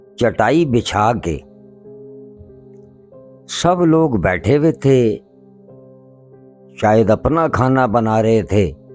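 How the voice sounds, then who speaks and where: Music plays in the background as a man of medium pitch speaks with very even loudness. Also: lively intonation. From Pakistan. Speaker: paranormal investigator. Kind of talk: horror story narration.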